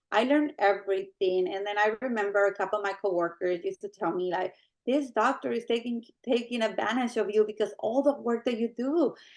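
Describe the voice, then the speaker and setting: This woman, speaking with a Spanish accent, talks at a fairly quick pace in a fairly high pitch with ordinary pitch variation. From Mexico. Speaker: medical coding supervisor. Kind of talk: interview.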